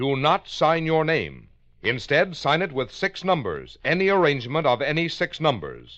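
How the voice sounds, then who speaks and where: In a quiet background, a man talks with vocal fry and lively intonation. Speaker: radio announcer. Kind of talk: old-time radio announcement.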